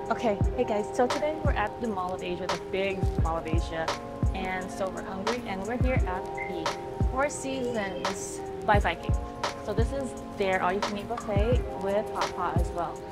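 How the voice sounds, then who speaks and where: A woman talks at a moderate pace. Loud music plays in the background. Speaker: food vlogger. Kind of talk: casual vlog chat. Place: street. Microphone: phone near.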